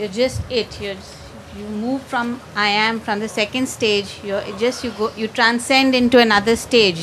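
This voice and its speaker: Noticeable background noise surrounds a woman with a fairly high pitch. She speaks at a fairly slow pace with fairly even intonation. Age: old. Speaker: audience member asking question. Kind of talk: question to teacher.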